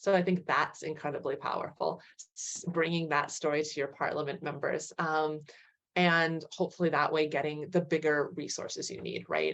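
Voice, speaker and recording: A woman with an American accent, very deep, low pitch, monotone, flat intonation, and a moderate pace. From US, California. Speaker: physician. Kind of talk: panel Q&A answer. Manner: casual, with fillers.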